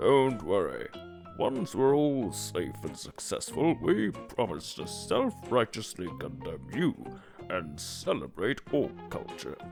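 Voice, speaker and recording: Someone uses a put-on character voice at a fairly slow pace while clear music plays in the background. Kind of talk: comedy webcomic dub.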